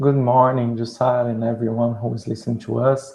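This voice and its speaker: In a Brazilian Portuguese accent, a man talks at a moderate pace with a medium pitch and a dark, mellow tone. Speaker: spiritist speaker on the Bible. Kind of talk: lecture.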